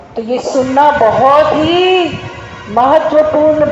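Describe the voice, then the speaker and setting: Against noticeable background noise and audible room echo, a woman with a Malayalam accent speaks in a high voice with ordinary pitch variation. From Kerala, India. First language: Malayalam (speaking Hindi). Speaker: devotional speaker. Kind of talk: spiritual talk to temple visitors.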